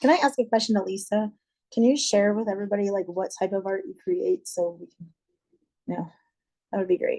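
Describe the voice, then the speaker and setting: With an American accent, a woman's dark, mellow voice at a medium pitch moves at a fairly quick pace with lively intonation, big swings in loudness, and long, frequent pauses. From Ohio. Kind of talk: panel discussion.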